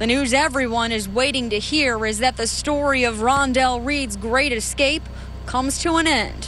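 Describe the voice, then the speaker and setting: A woman with a high pitch and fairly even intonation speaks over music in the background. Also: moderate pace. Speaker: TV news reporter. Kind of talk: recorded news package voiceover.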